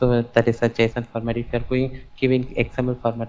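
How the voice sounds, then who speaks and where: A soft-spoken man at a medium pitch, fairly quick and monotone, with flat intonation. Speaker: java developer job candidate. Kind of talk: job interview. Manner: halting.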